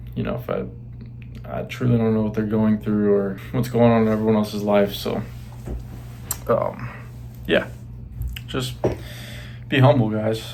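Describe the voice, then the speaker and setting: A man speaks quietly, with long, frequent pauses. Audible room echo surrounds his voice. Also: moderate pace. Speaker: fitness vlogger. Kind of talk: casual vlog talk. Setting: bedroom. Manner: hesitant, many fillers.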